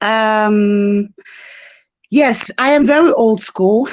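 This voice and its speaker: A woman speaks with a non-native accent and lively intonation. The background is quiet. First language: not English. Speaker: caller seeking spiritual consultation. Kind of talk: personal testimony on call. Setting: video call. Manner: halting, hesitant.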